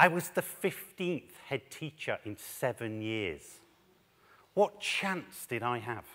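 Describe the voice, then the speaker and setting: The tone is bright and sharp, with very wide pitch swings. The pace is very slow. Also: man. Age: 40s. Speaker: head teacher and education speaker. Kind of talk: conference talk. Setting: stage with audience. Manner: animated. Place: stage. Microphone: headset.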